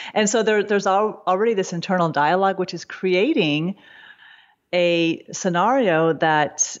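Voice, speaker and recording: At a moderate pace and medium pitch, a woman talks in an ordinary speaking voice with ordinary pitch variation. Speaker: psychotherapist. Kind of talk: casual interview chat.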